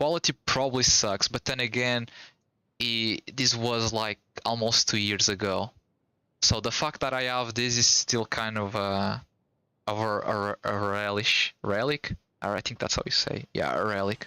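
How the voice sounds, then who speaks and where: A man speaks with a non-native accent and fairly even intonation. His pace is fairly slow. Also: medium pitch for a man. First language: Portuguese. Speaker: gaming streamer. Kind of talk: casual live stream chat.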